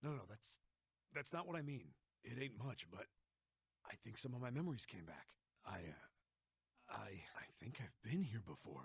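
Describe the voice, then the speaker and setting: A man puts on a raspy character voice of medium pitch, with very wide pitch swings. He keeps a moderate pace and takes long, frequent pauses. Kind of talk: hard-boiled recollection. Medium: video game. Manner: halting, hesitant.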